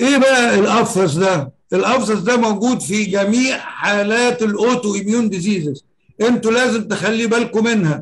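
Moderately paced speech holds a very even loudness, with ordinary pitch variation. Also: man, high pitch for a man. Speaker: professor. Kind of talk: lecture.

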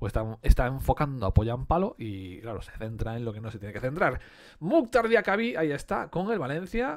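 A man speaks at a moderate pace against a quiet background. His fairly high voice swings very widely in pitch. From Galicia, Spain (Betanzos); Galicia, Spain. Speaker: sticker collector youtuber; collector streamer. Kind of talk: casual unboxing commentary. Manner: casual, conversational with fillers. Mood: enthusiastic, nostalgic. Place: home room.

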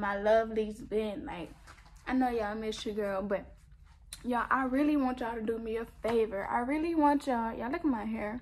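Fairly high female voice at a moderate pace, ordinary pitch variation, light background noise. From US. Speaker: YouTuber. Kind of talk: angry rant. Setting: home video recording. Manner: indignant, sassy. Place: home room. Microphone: phone near.

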